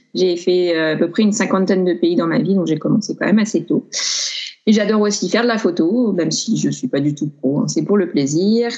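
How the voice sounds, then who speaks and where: This woman's voice has a dark, mellow tone and very even loudness. She talks fairly quickly with ordinary pitch variation. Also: medium pitch for a woman. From France, Grenoble. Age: 30s. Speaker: traveller. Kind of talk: casual chat.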